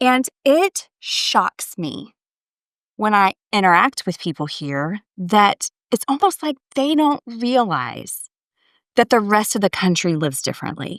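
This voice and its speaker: On a very clean recording with a silent background and a dry, close sound with no echo, a woman at medium pitch speaks at a fairly slow pace in a slight Texas accent, her voice making very wide pitch swings. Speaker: podcast guest. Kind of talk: casual chat.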